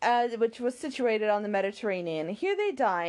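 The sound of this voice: The voice is an unforced reading voice. Its intonation is lively.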